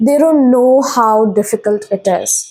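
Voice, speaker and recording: Her high-pitched voice has a dark, mellow tone as this woman makes very wide pitch swings. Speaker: tarot reader. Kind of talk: tarot reading monologue. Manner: halting.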